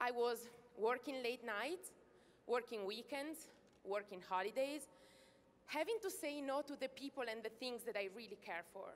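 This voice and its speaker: Speaking in an Italian accent, a woman uses lively intonation and a high pitch, leaving long, frequent pauses. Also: moderate pace. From Italy. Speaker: network marketing distributor. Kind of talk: stage testimony speech. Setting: stage with audience.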